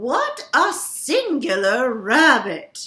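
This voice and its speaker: A put-on character voice leaps through very wide pitch swings. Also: woman. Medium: read story.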